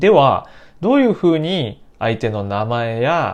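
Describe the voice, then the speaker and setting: Against a quiet background, a man talks at a very slow pace with very wide pitch swings. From Japan, Nara Prefecture. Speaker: Japanese language teacher. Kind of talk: language lesson podcast.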